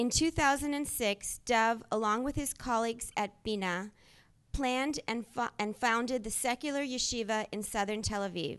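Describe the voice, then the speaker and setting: An ordinary speaking voice from a woman, fairly high in pitch with ordinary pitch variation, at a moderate pace against a quiet background. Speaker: event moderator. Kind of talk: reading an introduction. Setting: stage with audience.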